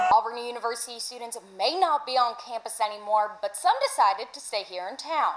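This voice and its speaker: Over noticeable background noise, a woman talks at a fairly quick pace with hardly any pauses, her fairly high voice showing big swings in loudness. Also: ordinary pitch variation. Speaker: sports and news reporter. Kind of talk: local TV news package.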